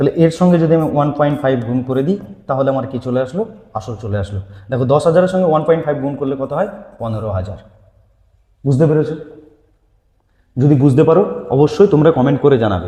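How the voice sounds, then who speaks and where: Somewhat breathy and fairly high-pitched, a man talks with lively intonation. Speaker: maths teacher. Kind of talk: online lecture.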